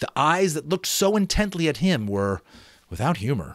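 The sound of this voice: A man's fairly high voice at a moderate pace, with big pitch swings.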